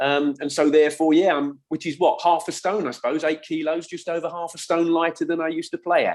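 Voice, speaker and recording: His pace runs fairly quick. The man speaks in a southern English accent. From England, west London (Middlesex). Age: 60s. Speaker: former footballer and football coach. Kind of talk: casual chat.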